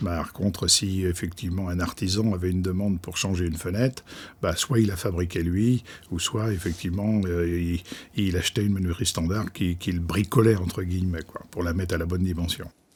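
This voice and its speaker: A man with a very deep, low pitch talks at a fairly quick pace, somewhat breathy, with fairly even intonation. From France, Loire valley. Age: 70s. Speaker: company founder. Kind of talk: interview. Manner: halting, many fillers.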